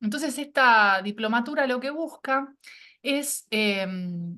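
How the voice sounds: A woman speaks slowly in a fairly high pitch, her tone bright and sharp, with ordinary pitch variation.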